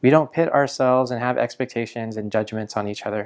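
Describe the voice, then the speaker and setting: Using a plain, everyday voice, a man talks at a fairly quick pace with a medium pitch. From Canada. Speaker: pastor. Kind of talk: sermon.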